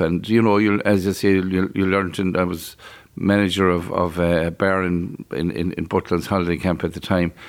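A man talks at a fairly quick pace in a west of Ireland accent, his pitch very deep and low. His intonation is monotone and flat, and the recording is very clean with a silent background. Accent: west of Ireland Irish. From Ireland, County Galway. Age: 60s. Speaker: fast food business owner. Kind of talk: interview. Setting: on location at a motorway plaza.

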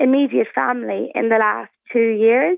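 A woman speaks at a moderate pace with an Irish accent. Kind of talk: radio interview.

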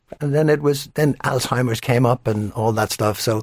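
A man speaks with an Irish accent. The sound is dry and close, with no echo. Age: 70s. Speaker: actor. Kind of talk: casual chat. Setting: studio. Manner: halting.

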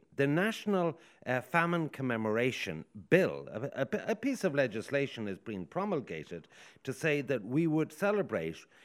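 A man speaks with an Irish accent at medium pitch and a moderate pace. His pitch swings very widely on a very clean recording with a silent background. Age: 50s. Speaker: radio host. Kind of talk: radio talk show panel. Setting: outside broadcast at a hotel.

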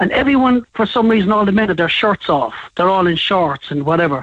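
The speaker talks very fast in a Cork accent with ordinary pitch variation. The sound is dry and close, with no echo. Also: man. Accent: Cork Irish. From Ireland, Cork. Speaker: caller. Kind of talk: anecdote on phone-in. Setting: phone call.

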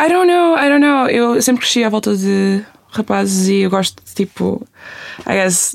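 Speaking at a fairly slow pace, a woman uses a fairly high pitch with very wide pitch swings. Her loudness stays very even. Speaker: youtuber and singer. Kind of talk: casual chat. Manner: code-switching between Portuguese and English.

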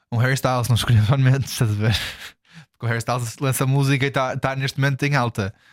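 A very fast, monotone man's voice with flat intonation. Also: medium pitch for a man. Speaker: podcast co-host. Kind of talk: casual chat.

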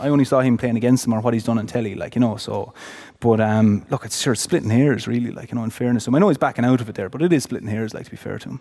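Speaking at a very fast pace, a man talks in an Irish accent. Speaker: former hurler, podcast co-host. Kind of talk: live podcast chat, storytelling. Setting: theatre stage with audience.

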